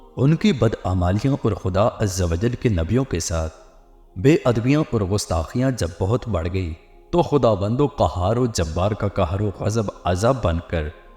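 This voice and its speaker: Music plays in the background as a man with a fairly low pitch speaks with lively intonation. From Pakistan. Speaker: voice over artist. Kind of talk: Islamic story narration.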